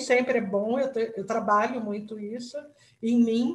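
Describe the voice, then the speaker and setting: Here is a woman with a high pitch. She speaks at a fairly slow pace. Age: 60s. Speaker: retired company director, workshop participant. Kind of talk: group discussion.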